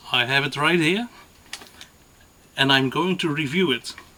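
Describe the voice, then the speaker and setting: Noticeable background noise sits behind this recording. A man speaks with a non-native accent. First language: not English. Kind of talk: gun review to camera. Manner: hesitant, many fillers.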